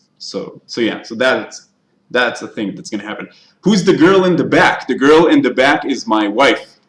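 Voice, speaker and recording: At a moderate pace, a man talks in a fairly high voice with vocal fry. His pitch swings very widely, and his loudness rises and falls sharply. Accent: Israeli. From Israel. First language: Hebrew. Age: 20s. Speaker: YouTuber, TV show reviewer. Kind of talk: live stream Q&A chat. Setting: live stream. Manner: halting.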